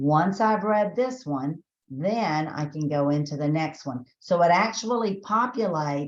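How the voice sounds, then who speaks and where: Her voice sits very deep and low for a woman. She speaks at a fairly slow pace with hardly any pauses. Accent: Southern US. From Texas. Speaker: education trainer. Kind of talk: webinar tutorial. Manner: conversational, filler-heavy.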